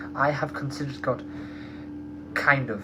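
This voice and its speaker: A man's voice over noticeable background noise. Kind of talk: testimony. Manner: fast; halting, many fillers.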